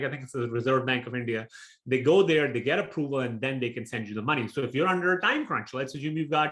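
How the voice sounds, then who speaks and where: Talking very fast, a man uses lively intonation. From Pakistan. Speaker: real estate investor. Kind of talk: webinar presentation.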